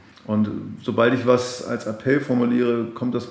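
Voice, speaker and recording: A man talks at a moderate pace with fairly even intonation and medium pitch. Room echo is audible. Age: 40s. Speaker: pastor and podcast host. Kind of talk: interview. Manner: halting, repeats words.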